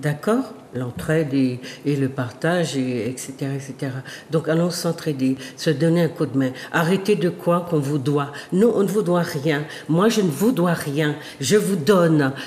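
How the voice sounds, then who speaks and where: Over noticeable background noise, a woman with a very deep, low pitch speaks at a fairly slow pace with lively intonation. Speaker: sociologist and talk show host. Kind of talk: monologue to viewers. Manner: halting.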